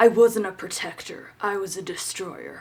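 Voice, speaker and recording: A raspy, female-sounding put-on character voice at a middle pitch moves along at a moderate pace. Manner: cringy, exaggerated.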